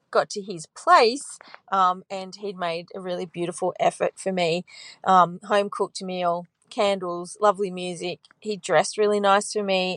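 A woman with a normal speaking voice talks at a moderate pace and a medium pitch, with fairly even intonation. The sound is dry and close, with no echo. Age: 40s. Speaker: caller. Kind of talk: voicemail.

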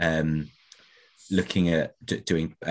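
A man speaks in an English accent. The background is quiet. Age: 40s. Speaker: podcast co-host. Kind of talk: casual chat.

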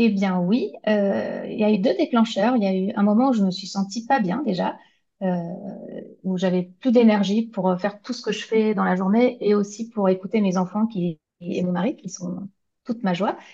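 A woman's somewhat breathy, dark and mellow voice at medium pitch, with ordinary pitch variation and a moderate pace. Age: 40s. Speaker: graphic designer and illustrator. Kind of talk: interview. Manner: hesitant.

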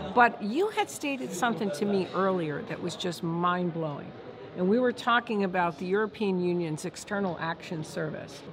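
A woman at medium pitch and a moderate pace, ordinary pitch variation, over noticeable background noise. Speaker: news talk show host. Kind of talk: on-location interview. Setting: at a conference. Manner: animated.

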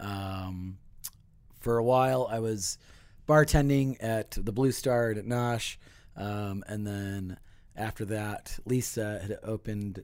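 With an ordinary speaking voice, a man talks in a fairly low pitch and fairly even intonation, in a very clean recording with a silent background. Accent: American. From Chicago. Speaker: co-working space manager and comics fan. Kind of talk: casual chat. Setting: studio.

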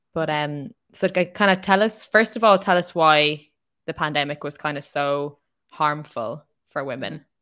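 A woman's very deep, low voice in an Irish accent. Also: ordinary pitch variation, moderate pace. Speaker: podcast host. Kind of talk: casual chat.

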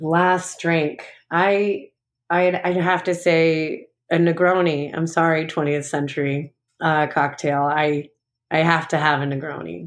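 With an American accent, the speaker delivers words very slowly. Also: woman, fairly low pitch for a woman, fairly even intonation. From Long Island, New York. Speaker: bar owner and bartender. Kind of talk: casual interview. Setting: remote call.

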